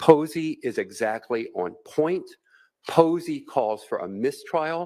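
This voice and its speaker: Over a silent background in a very clean recording, a man speaks at a fairly slow pace. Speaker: defense attorney. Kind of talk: courtroom argument. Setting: courtroom. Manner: loud.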